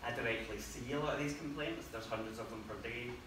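A man at a fairly quick pace, with fairly even intonation, audible room echo and noticeable background noise. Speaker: presenter. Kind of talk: talk presentation. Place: meeting room. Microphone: camera far.

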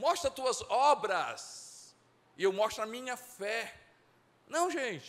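At a very slow pace, a man speaks with lively intonation at an extremely high pitch. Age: 50s. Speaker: pastor. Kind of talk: sermon. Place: church. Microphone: handheld.

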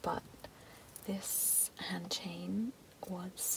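Over faint background noise, a woman speaks at a fairly low pitch with vocal fry and little pitch movement.

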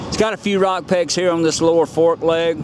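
The speech moves at a fairly slow pace. Loud background noise sits under a dry sound with no echo. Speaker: motorcycle dealer salesperson. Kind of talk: product walkaround commentary. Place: street. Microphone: phone near.

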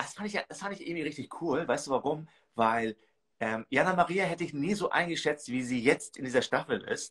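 A man with a plain, everyday voice speaks against a quiet background. He is fairly high-pitched, with lively intonation and a fairly quick pace. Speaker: reality TV commentator. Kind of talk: casual chat. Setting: video call. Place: home room. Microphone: video call.

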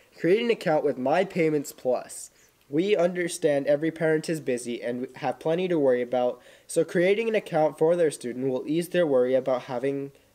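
This man has a dark, mellow tone and ordinary pitch variation. He speaks at a fairly quick pace. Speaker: student announcer. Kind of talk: school news announcements. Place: classroom.

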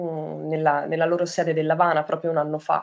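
A woman's fairly low voice against a quiet background. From Tuscany, Grosseto; Tuscany. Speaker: artist, photographer. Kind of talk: interview monologue. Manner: halting, many fillers. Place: home room. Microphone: webcam.

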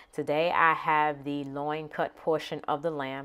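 This is a woman speaking. Her pitch is very deep and low. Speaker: home cooking channel host. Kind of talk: casual cooking tutorial. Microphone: phone near.

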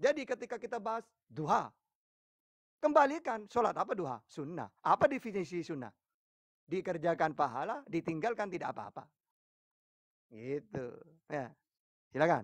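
Against a quiet background with a dry, echo-free sound, a high-pitched man speaks at a moderate pace with very wide pitch swings and long, frequent pauses. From East Java, Pasuruan; East Java. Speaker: Islamic preacher answering questions. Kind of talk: religious debate and Q&A. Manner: firm, forceful-sounding speech. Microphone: phone near.

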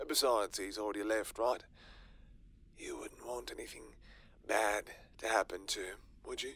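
Using a raspy, put-on character voice, a man talks at a moderate pace with long, frequent pauses. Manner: smug, taunting, menacing.

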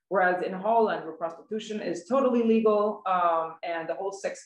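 Her pitch moves in an ordinary way as the woman talks. The room adds audible echo. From Sweden. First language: Swedish. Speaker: journalist and writer; journalist. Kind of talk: prepared talk. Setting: online webinar from home. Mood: earnest, critical. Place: home room. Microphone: video call.

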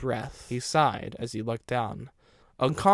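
With ordinary pitch variation, a person is reading aloud in a natural voice.

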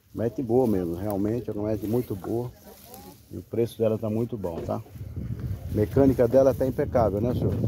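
Speech comes at a fairly quick pace, broken by long, frequent pauses. The sound is dry with no echo, and background noise is noticeable. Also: man, fairly low pitch for a man. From Brazil. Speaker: car broker selling used vehicles. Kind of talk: street seller pitchman, sales pitch walk-around video. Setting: outdoors at car lot, filming vehicle. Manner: fast, chatty, upbeat patter, hyping the deal, reassuring casual asides. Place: open country. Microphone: phone near.

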